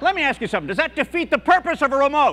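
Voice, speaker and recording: A man rattles along at a very fast pace, with noticeable background noise present. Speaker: stand-up comedian. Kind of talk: stand-up comedy routine. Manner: bright, energetic.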